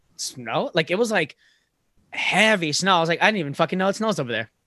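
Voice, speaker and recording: A loud man with an American accent, animated and very fast, with a bright, sharp tone, ordinary pitch variation and a dry, close sound with no echo. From Florida. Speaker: podcast host and comedian. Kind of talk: casual chat.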